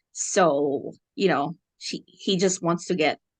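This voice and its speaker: Against a quiet background, a woman with a fairly low voice and ordinary pitch variation is captured dry and close with no echo. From Philippines. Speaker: podcast guest. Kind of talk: casual chat.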